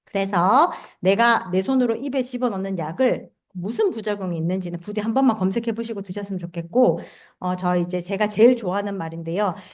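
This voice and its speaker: Fairly quick speech from a woman at a medium pitch. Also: ordinary pitch variation. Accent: Gyeongsang. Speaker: health supplement seminar presenter. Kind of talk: sales pitch.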